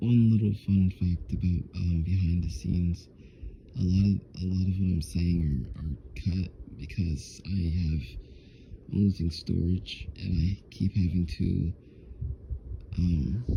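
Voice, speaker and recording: A very deep, low-pitched man speaks quietly with ordinary pitch variation. Long, frequent pauses break his speech over noticeable background noise. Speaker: vlogger, customer service worker. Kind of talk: casual vlog monologue. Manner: quiet, low; halting, repetitive.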